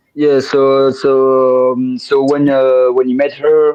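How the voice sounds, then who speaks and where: Speaking at a very slow pace, a man with a strong French accent has a medium pitch. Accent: thick French. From France. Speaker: podcast guest, music fan. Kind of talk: casual interview chat. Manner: halting, many fillers and repeats.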